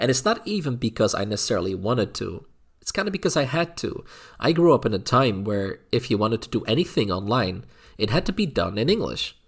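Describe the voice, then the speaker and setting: With a slight Dutch accent, a man speaks at a very fast pace in a medium, somewhat breathy voice with very wide pitch swings, on a very clean recording with a silent background. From Netherlands. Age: adult. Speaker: YouTuber. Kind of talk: casual vlog monologue. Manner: halting, many fillers and repeats.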